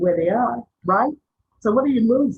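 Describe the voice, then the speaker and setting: Speaking at a moderate pace, a woman uses a fairly high, somewhat breathy voice. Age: 60s. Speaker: media trainer and activist. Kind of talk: webinar talk. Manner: animated.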